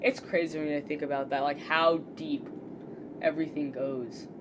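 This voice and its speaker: A woman's very deep, low voice at a moderate pace, with fairly even intonation and noticeable background noise. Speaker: gaming streamer. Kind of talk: casual live stream talk. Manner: loud.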